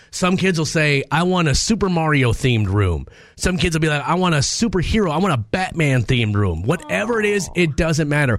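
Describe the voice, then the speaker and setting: A man with an American accent talks at a fairly quick pace with hardly any pauses, his fairly high pitch swinging very widely while his loudness stays very even. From Minnesota. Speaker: radio host. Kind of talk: casual chat.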